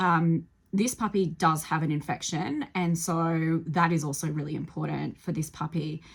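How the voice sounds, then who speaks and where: Her voice is fairly low-pitched and somewhat breathy, and she speaks with hardly any pauses. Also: fairly even intonation, moderate pace. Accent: Australian. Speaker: animal rescuer. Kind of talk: tutorial. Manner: hesitant, many fillers.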